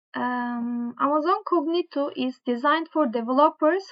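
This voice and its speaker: A woman speaks at a fairly slow pace with a strong non-native accent and ordinary pitch variation. The background is quiet. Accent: strong foreign accent (own remark). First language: not English. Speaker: tech tutorial creator. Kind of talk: tutorial, reading course material aloud. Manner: halting, with fillers and self-corrections. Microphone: webcam.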